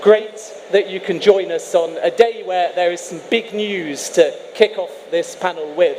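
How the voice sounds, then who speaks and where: Noticeable background noise sits behind a man speaking fairly slowly with an English accent. His loudness swings widely. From England, East Midlands (Leicester). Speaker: sports broadcaster, panel moderator. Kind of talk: live panel moderation. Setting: stage with audience.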